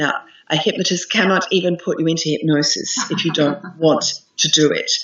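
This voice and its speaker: A woman with an Australian accent speaks in an enthusiastic tone at a moderate pace, with a fairly low pitch and ordinary pitch variation, over noticeable background noise. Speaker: hypnotherapist and meditation teacher. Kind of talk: interview answer.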